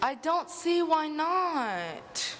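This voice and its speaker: A put-on character voice at an extremely high pitch, with clear background noise. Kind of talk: school stage musical. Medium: stage play. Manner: sly, theatrical.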